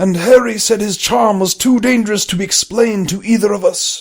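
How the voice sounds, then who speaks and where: A man puts on a character voice. It is high in pitch. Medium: read story. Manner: measured, solemn.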